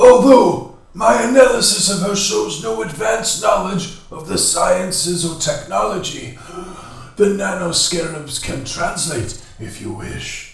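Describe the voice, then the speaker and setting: Using a put-on character voice, a man sounds robotic and creaky at a high pitch, speaking at a fairly slow pace with strong echo. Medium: read story. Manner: subservient.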